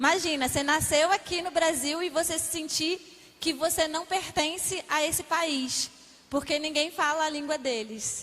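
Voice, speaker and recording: A woman with a Rio de Janeiro accent talks at a moderate pace in an extremely high voice with fairly even intonation, over noticeable background noise. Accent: Rio de Janeiro (carioca). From Brazil, Rio de Janeiro. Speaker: missionary. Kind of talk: testimony. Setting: church.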